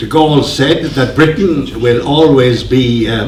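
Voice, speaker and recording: Amid noticeable background noise and audible room echo, a man with a fairly high pitch talks at a very slow pace with fairly even intonation. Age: 80s+. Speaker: economist and anti-EU campaigner. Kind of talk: lecture.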